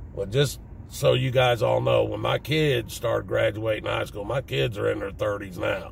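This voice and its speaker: A man talks at a moderate pace, noticeable background noise audible behind him. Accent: Southern US. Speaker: vlogger. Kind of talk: casual monologue.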